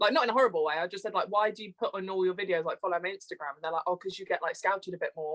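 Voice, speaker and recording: The speaker talks at a very fast pace with hardly any pauses, in a British accent and with ordinary pitch variation. The sound is dry and close, with no echo. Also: woman, medium pitch for a woman. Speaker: TikTok creator. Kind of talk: casual interview chat. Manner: animated.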